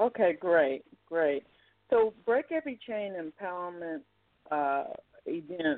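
A woman with an American accent speaks at a fairly slow pace, with long, frequent pauses. Her pitch is fairly low, yet it makes very wide swings. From Oklahoma. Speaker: minister and ministry founder. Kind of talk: interview on faith ministry. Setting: phone call.

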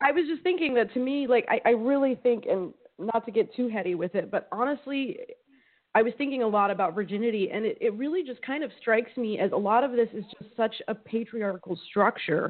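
This woman has an ordinary speaking voice and a fairly high pitch. She talks at a fairly quick pace with lively intonation. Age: 40s. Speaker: actor and novelist. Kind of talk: casual talk radio chat.

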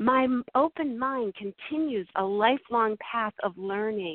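Using an American accent, a woman speaks in a fairly high voice at a fairly slow pace, with ordinary pitch variation. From Massachusetts. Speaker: mindfulness coach and meditation instructor. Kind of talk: radio interview. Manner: animated.

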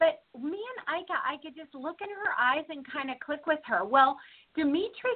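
A woman speaks in a high, animated voice. Her pitch swings very widely. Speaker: reality TV contestant. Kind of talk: casual chat. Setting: phone call.

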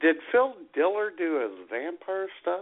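A man's high voice with big pitch swings at a fairly slow pace

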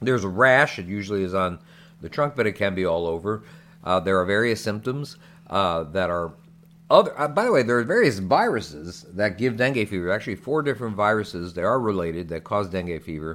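Speaking at a fairly quick pace, a man uses lively intonation and a fairly low pitch. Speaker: physician and podcast co-host. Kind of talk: casual chat and medical explainer. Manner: talkative.

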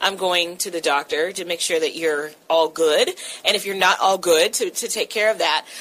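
A woman with an unremarkable speaking voice, fairly low in pitch, at a moderate pace and with fairly even intonation. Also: hardly any pauses. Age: 40s. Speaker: radio talk show host. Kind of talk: radio talk show.

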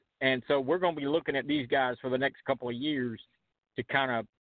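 A man with a plain, everyday voice, fairly high in pitch, fairly even in intonation, at a fairly quick pace. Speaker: sports journalist. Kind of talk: casual chat.

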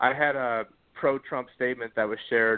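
In a plain, everyday voice, a man speaks at a moderate pace and a medium pitch. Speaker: call-in guest. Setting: phone call.

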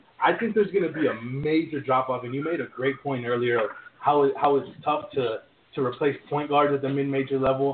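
With ordinary pitch variation, a man speaks at a fairly quick pace in a fairly high voice. Noticeable background noise is present. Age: 20s. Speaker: sports podcast host. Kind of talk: casual sports talk.

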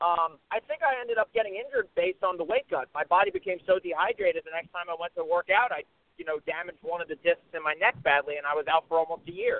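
Hardly pausing at all, a man speaks very fast at a high pitch with ordinary pitch variation. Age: 20s. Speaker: MMA fighter. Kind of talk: casual interview.

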